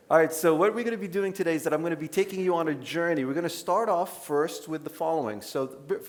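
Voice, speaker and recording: In an American accent, a man with a high pitch rushes along at a very fast pace with hardly any pauses and ordinary pitch variation. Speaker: dermatologist. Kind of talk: lecture. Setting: conference stage with audience. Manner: casual, conversational.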